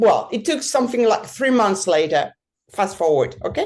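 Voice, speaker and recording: Her intonation is lively. The woman keeps to a fairly slow pace. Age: 60s. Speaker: mountain bike guide. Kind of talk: interview testimony. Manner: halting, many fillers.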